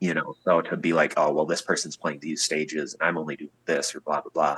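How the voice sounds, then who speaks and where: Fairly quick delivery with a dry, close sound and no echo. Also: man. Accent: Upper Midwest. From Wisconsin, USA. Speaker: musician, guitarist. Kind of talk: interview answer.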